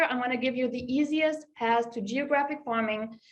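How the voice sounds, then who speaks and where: Lively intonation with a slight German accent. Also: woman. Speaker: real estate agent. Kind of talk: webinar presentation.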